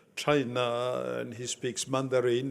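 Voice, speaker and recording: A man with a French accent speaks at a medium pitch. His pace is very slow. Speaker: conference host. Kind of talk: speaker introduction. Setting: conference dinner with audience. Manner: halting, many fillers.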